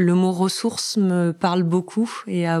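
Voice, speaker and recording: Recorded very cleanly with a silent background and a dry, close sound without echo, a woman speaks in a flat monotone with a dark, mellow tone at a fairly low pitch. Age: 40s. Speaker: finance professional and bereaved mother. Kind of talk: personal testimony interview. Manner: fluent.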